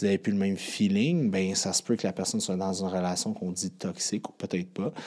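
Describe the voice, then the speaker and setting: Speaking very fast with a Quebec accent, a man uses a fairly low, dark, mellow voice with fairly even intonation. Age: 30s. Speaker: podcast host, fitness coach. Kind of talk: podcast monologue. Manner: casual, with many fillers.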